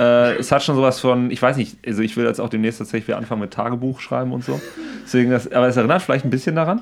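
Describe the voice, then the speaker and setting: A man talks at a very fast clip. His pitch sits in a medium range with ordinary variation. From Siegerland, Germany. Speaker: podcast co-host. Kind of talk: casual chat.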